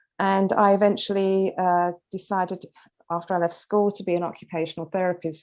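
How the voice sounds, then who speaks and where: In a British accent, the speaker talks at a very fast pace with monotone, flat intonation. The background is quiet. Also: woman. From London, England. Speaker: author, retired occupational therapist. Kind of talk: interview. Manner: hesitant fillers.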